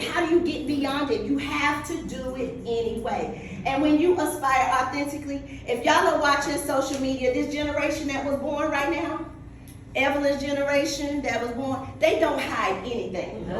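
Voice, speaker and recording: A woman with a North Carolina accent, high-pitched and animated, at a moderate pace with ordinary pitch variation, amid audible room echo and noticeable background noise. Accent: Southern US (North Carolina). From North Carolina, US South. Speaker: motivational speaker, business coach. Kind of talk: motivational talk. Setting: stage with audience.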